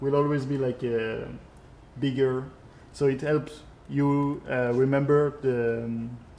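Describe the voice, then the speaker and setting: Speaking in a French accent, a man at medium pitch talks at a very slow pace with long, frequent pauses. His intonation is monotone and flat, and audible room echo surrounds it. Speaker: video game creative director. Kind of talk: live gameplay stream with Q&A. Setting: live stream. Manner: halting, many filler sounds.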